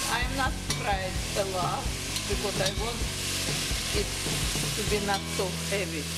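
Over loud background noise, a woman speaks at a moderate pace with long, frequent pauses. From Uzbekistan. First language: Russian. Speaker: home cook. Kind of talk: cooking demonstration. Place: kitchen. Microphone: phone near.

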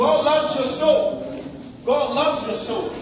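Faint background noise sits behind a man with an extremely high pitch. He talks slowly, with ordinary pitch variation.

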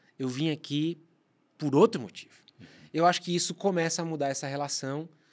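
The background is quiet. The speaker talks at a moderate pace. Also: man. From Brazil. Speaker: podcast co-host and marketer; podcast co-host. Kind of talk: casual chat. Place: studio. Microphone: studio mic.

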